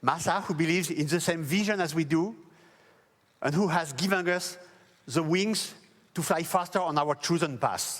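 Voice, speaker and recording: In a French accent, a man with a high pitch speaks at a moderate pace with fairly even intonation, very even loudness and long, frequent pauses. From France. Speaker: company founder. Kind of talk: press event speech. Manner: formal.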